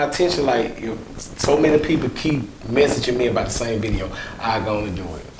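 A man talks in a rural Mississippi accent. There is noticeable background noise. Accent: rural Mississippi Southern US. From Mississippi, US South. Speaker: comedian. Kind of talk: casual interview. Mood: relaxed, friendly. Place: studio. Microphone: lapel.

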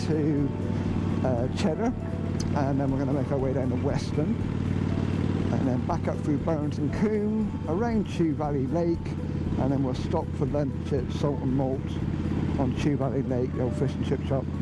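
A man at a moderate pace with ordinary pitch variation and long, frequent pauses, dry sound with no echo, music in the background. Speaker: motorcycle vlogger. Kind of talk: casual vlog chat. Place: motorbike. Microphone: helmet.

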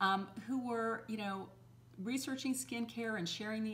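A woman at a fairly quick pace, with fairly even intonation

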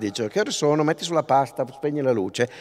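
Against a quiet background, a man is speaking. His pace is very fast. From northern Italy, Pavia; Italy. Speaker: linguist, festival lecturer; festival lecturer. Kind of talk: public lecture. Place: stage. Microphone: podium.

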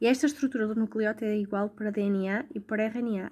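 A woman's dark, mellow, medium-pitched voice with a European Portuguese accent at a moderate pace, on a very clean recording with a silent background. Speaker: tutor. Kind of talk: tutorial.

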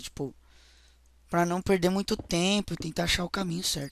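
A man with a Brazilian accent at a moderate pace, in a very clean recording with a silent background. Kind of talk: let's play commentary. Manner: animated.

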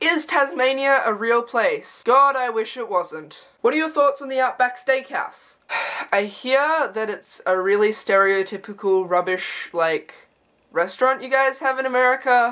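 A bright, sharp tone with lively intonation in an Australian accent, at a fairly slow pace against a quiet background. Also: woman, high pitch for a woman. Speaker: YouTuber. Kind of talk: casual vlog. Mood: sarcastic, joking. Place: home room. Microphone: webcam.

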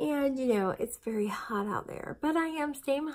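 A woman speaks rather slowly, her pitch varying in an ordinary way, with a quiet background behind her. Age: 40s. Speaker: vlogger documenting weight loss surgery; weight loss vlogger. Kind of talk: casual vlog monologue. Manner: chatty, with frequent fillers. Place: home room. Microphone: phone near.

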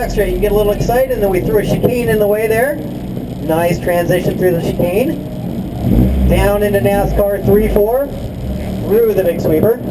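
Loud background noise surrounds a man speaking at a moderate pace. His pitch varies in an ordinary way. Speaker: event announcer. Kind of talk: commentary.

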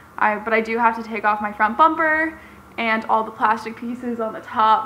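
A woman talks with ordinary pitch variation, some light noise behind her. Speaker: car DIY vlogger. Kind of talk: casual vlog chat. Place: garage. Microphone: phone near.

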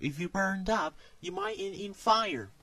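A man performs a cartoonish character voice at a high pitch, bright and sharp in tone with vocal fry. He moves at a fairly slow pace, his pitch swinging very widely.

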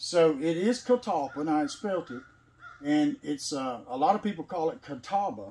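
Speaking at a moderate pace in a Tennessee accent, a man uses a fairly high pitch and very wide pitch swings with a dark, mellow tone. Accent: Southern US, Tennessee. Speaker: sawmill owner. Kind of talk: casual chat. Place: farm machine. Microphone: camera far.

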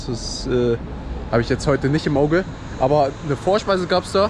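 The recording of a man with ordinary pitch variation sounds dry with no echo, though background noise is noticeable. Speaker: food vlogger. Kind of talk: casual vlog chat. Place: street. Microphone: phone near.

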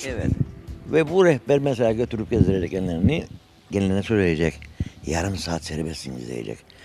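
With music in the background, a man talks at a fairly quick pace in a very deep, low pitch, his voice making very wide pitch swings, the sound dry with no echo. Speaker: interviewee, local villager. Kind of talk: interview answer. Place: street. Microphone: handheld.

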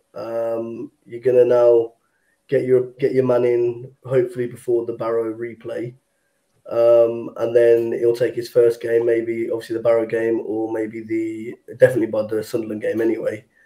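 Against a quiet background, a man with an English accent speaks at a moderate pace in a dark, mellow tone with monotone, flat intonation. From England. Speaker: football fan; panel member. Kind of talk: casual chat. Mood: disappointed, reflective. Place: home room. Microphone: video call.

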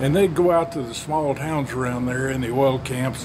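Over noticeable background noise, a man with a Southern Plains US accent speaks at a fairly high pitch with fairly even intonation. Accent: Southern plains US drawl. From Oklahoma/Texas panhandle region. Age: old. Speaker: storyteller. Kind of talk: folksy spoken yarn of a family tall tale. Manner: rambling conversational pacing with folksy 'well' asides. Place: garden. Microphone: phone near.

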